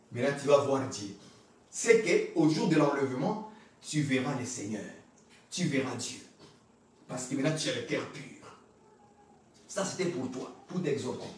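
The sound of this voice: A man speaks at a moderate pace and medium pitch with lively intonation. Strong room echo surrounds him.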